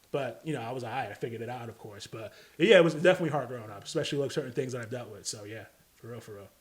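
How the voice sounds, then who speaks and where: A man with a New York accent talks very fast at medium pitch. His pitch varies in an ordinary way while his loudness swings a lot. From Staten Island, New York (Park Hill). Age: 30s. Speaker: rapper. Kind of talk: casual chat.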